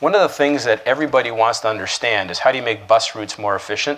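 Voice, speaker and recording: Against noticeable background noise, a man with a Canadian accent talks at a very fast pace, his medium pitch showing ordinary variation. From Canada, Toronto. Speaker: keynote speaker. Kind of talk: keynote speech.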